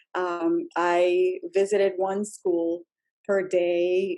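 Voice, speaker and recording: A woman speaks with a Spanish accent in a dark, mellow tone. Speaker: school district EL education leader. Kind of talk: podcast interview.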